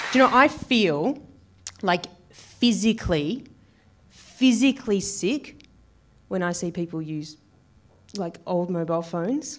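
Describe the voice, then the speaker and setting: With very wide pitch swings and long, frequent pauses, a woman speaks at a fairly slow pace. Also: medium pitch for a woman. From Australia. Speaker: stand-up comedian. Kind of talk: stand-up comedy set.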